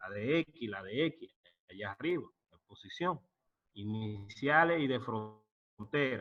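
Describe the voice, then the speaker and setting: Very slowly, a man speaks with very wide swings in pitch. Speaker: professor. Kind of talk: lecture.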